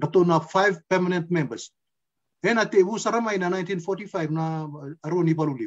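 A man speaks with a high pitch. The background is quiet. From Fiji, Macuata province; Fiji. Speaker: interviewee. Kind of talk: casual chat. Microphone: video call.

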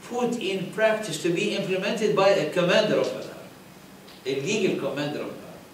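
Light background noise and audible room echo surrounding a man's voice. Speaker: religious teacher. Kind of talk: lecture. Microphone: podium.

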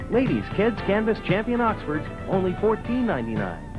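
A woman with an American accent speaks at a fairly quick pace. Music plays in the background. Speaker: voice actor. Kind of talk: sporting goods retail commercial.

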